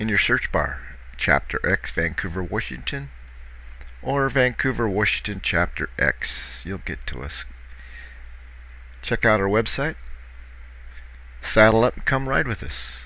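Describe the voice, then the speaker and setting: A man speaks at a fairly slow pace with long, frequent pauses, in a dry sound with no echo. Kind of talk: casual vlog chat. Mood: relaxed, cheerful. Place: boat.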